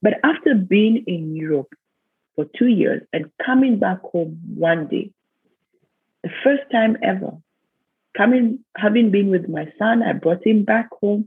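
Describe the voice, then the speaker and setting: A woman with a Kenyan accent speaks in a medium pitch with lively intonation. Her pace is fairly slow, with long, frequent pauses. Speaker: business consultant and leadership mentor. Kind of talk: interview.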